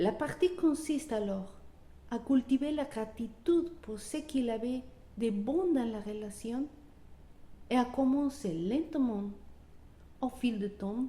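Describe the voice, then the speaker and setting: A woman with a non-native accent and a high pitch speaks very slowly, her intonation lively and broken by long, frequent pauses. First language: not French (speaking French). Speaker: wellbeing coach. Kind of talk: motivational talk. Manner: halting.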